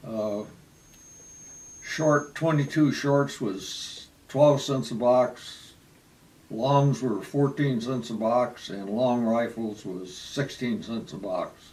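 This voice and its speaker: A man's very slow speech at medium pitch, with ordinary pitch variation and noticeable background noise. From Michigan, US Midwest (Wayne, near Detroit). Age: 80s+. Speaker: retiree telling his life story. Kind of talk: oral history interview. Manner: halting, with many fillers.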